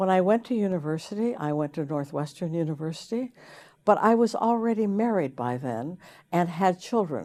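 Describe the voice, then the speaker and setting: In a very clean recording with a silent background, a woman with an American accent speaks in a dark, mellow tone at a fairly low pitch, with very wide pitch swings. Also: moderate pace. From US West, Idaho. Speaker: professor. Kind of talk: course introduction. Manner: halting.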